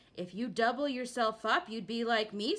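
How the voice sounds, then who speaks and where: A woman's growling put-on character voice, fairly high in pitch, at a moderate pace. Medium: read story.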